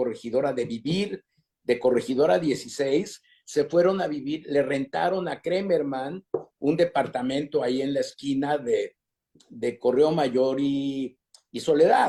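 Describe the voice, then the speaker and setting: In a dark, mellow tone, a man with a fairly high pitch speaks at a very slow pace. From Mexico City. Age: 80s+. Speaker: interviewee sharing family immigrant history. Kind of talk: oral history interview. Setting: online live stream. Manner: halting, repeats words.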